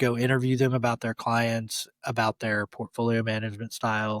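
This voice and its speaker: A man with an American accent and an ordinary speaking voice, medium in pitch, fairly quick, with fairly even intonation, in a very clean, dry, close recording with a silent background and no echo. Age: 40s. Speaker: former fund wholesaler. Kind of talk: interview.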